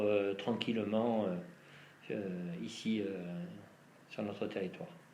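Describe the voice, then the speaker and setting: A man is speaking here. The room echo is audible. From southeastern France (La Ciotat, Provence). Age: 50s. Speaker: interviewee, local resident. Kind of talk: interview answers. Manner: halting, many hesitations.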